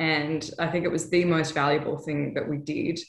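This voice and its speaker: Her pitch is fairly low, with an Australian accent. The woman's intonation stays monotone and flat. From Western Australia, Perth. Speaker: TV news correspondent. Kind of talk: interview. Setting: video call.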